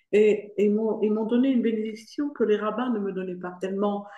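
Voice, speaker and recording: The room echo is audible around this woman's voice. Her pitch sits fairly high, and her tone is dark and mellow. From Morocco (Fès). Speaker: foundation president giving a testimony. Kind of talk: Q&A in an online lecture. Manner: hesitant, many fillers.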